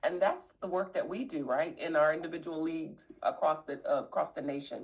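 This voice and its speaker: Lively intonation marks this woman's unremarkable speaking voice as she talks at a moderate pace. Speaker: workshop presenter. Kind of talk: virtual workshop. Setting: video call.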